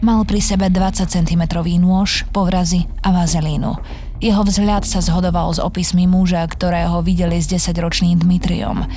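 Fairly low-pitched and monotone, a woman talks at a fairly slow pace with very even loudness as noticeable background noise runs behind her. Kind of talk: true-crime narration. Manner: grave, measured, even-paced storytelling.

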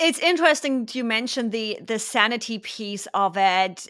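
At a moderate pace, a woman with a German accent speaks in a fairly high, bright, sharp voice, captured in a very clean recording with a silent background. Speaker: podcast host. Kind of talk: casual interview.

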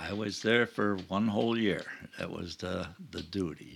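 Very deep and low in pitch, a man with an Upstate New York accent speaks at a moderate pace with fairly even intonation. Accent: Upstate New York American. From Rochester, New York. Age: 80s+. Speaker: retired traveler. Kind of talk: casual interview. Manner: laid back, positive.

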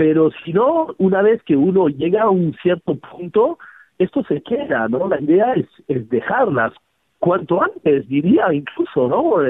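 Very wide pitch swings at a fairly slow pace. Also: man, high pitch for a man. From Switzerland, Geneva. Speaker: flower therapy teacher. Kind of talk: radio interview. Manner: halting, repeats words.

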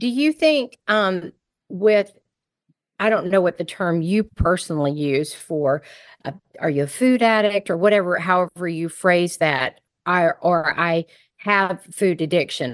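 A woman talks at a moderate pace in a fairly low pitch, with ordinary pitch variation. It is a plain, everyday voice. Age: 50s. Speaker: podcast host and food addiction coach. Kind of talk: interview.

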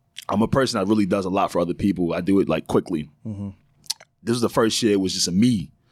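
A man at a very fast pace, fairly low in pitch, with ordinary pitch variation. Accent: American. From New York (Long Island). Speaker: podcast co-host. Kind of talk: casual chat. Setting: studio.

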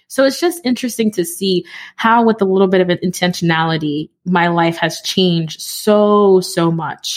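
With a plain, everyday voice and an American accent, a woman speaks at a medium pitch with ordinary pitch variation and hardly any pauses, in a very clean recording with a silent background. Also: moderate pace. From New York City, the Bronx. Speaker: podcaster and community founder. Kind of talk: interview conversation.

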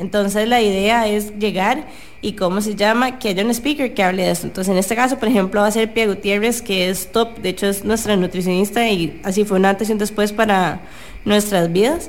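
Music plays in the background as a woman speaks at a fairly quick pace. Her loudness stays very even and her intonation fairly even. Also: medium pitch for a woman. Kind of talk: casual chat. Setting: radio studio.

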